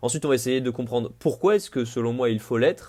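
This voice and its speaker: A man talks at a fairly quick pace. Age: 20s. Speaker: podcaster. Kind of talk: improvised solo podcast monologue. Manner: casual, with frequent hesitations.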